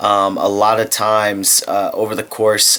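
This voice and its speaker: A man talks over noticeable background noise. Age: 20s. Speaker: vlogger. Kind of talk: casual vlog monologue. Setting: lying in bed at home. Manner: casual, halting with fillers.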